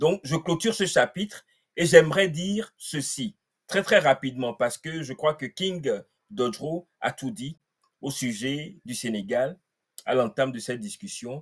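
Over a quiet background, a man speaks at a fairly slow pace with lively intonation, a somewhat breathy voice and big swings in loudness. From Togo. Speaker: political activist. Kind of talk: panel discussion. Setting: video call. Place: home room.

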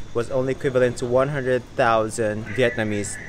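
Light background noise sits behind a man talking at a fairly slow pace. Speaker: travel vlogger. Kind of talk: casual vlog chat. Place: station. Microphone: phone near.

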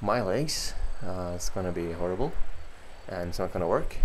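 Against noticeable background noise, a man talks at a very deep, low pitch that varies in an ordinary way. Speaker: cyclist streamer. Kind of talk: casual vlog chat. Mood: self-deprecating, low expectations. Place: home room.

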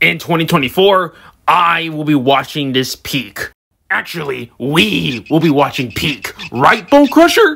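At a fairly slow pace, a put-on character voice speaks at a middle pitch. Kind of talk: trailer reaction. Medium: role play. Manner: excitable, goofy.

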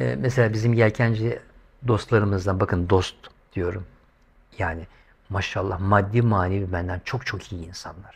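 Somewhat breathy and fairly low-pitched, a man talks at a moderate pace with long, frequent pauses. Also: big swings in loudness. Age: 50s. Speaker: YouTuber. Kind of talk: monologue vlog commentary. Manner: animated. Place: home room. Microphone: lapel.

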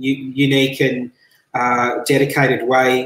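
There is audible room echo as a man speaks against a quiet background. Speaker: show host interviewer. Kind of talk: interview question. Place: home room. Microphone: headset.

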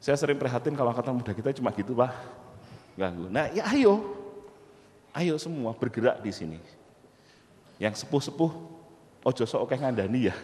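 A man with an animated tone and a fairly quick pace, very wide pitch swings, and long, frequent pauses. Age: 40s. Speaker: university lecturer and entrepreneur; university lecturer. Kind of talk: motivational talk. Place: hall. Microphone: handheld.

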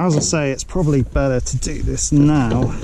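A man at medium pitch, fairly slow and fairly even in intonation, over clear background noise

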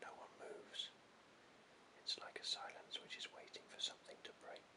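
A whispering man at a moderate pace. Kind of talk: audiobook reading. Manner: whispered.

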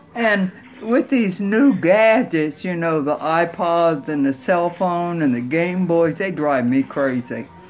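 A woman speaks at a very slow pace with hardly any pauses, her pitch fairly low. Her intonation is lively, and faint music plays in the background. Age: 80s+. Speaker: great aunt telling stories. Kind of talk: casual storytelling. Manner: blunt, feisty. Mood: feisty, humorous, unfiltered. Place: home room.

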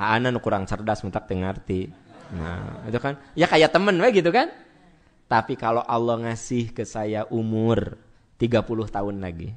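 Noticeable background noise sits behind a man with a medium pitch. He speaks at a fairly slow pace with lively intonation. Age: 40s. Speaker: Islamic preacher. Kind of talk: sermon. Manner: conversational, addressing audience directly.

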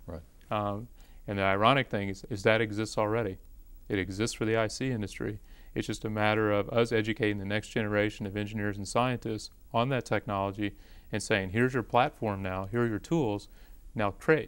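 Fairly quick, fairly low-pitched speech from a man with an American accent and fairly even intonation. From Indiana. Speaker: optics professor. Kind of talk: casual chat. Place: studio. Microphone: lapel.

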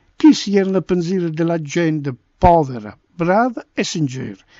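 A man speaks in an Apulian accent at a moderate pace. His pitch is high. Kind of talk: dialect poetry reading.

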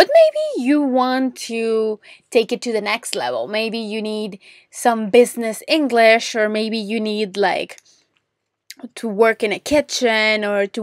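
The voice carries a Spanish accent and moves at a very slow pace. The sound is dry and close, with no echo. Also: woman, very clean recording, silent background. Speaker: podcast host, English teacher. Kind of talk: solo podcast monologue. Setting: home closet, recording for better audio. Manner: friendly, warm.

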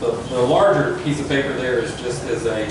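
Strong room echo surrounds a man speaking at a moderate pace. Background noise is noticeable. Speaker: applicant presenting to city council. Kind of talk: formal presentation. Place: meeting room. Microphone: camera far.

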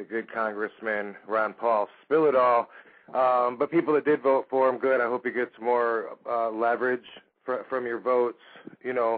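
A man talks at a moderate pace in a flat, monotone intonation over a quiet background. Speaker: radio show host. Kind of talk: talk radio commentary.

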